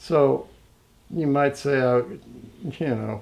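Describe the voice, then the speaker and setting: This voice carries an American accent. Its tone is dark and mellow. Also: man. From Lowell, Massachusetts. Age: 70s. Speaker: interviewee sharing life story. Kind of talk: oral history interview.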